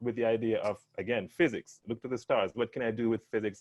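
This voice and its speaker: Speaking in a Jamaican accent at a fairly quick pace, a man uses a medium pitch and ordinary pitch variation. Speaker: life science panelist. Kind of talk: panel discussion. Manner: halting, many repeated words.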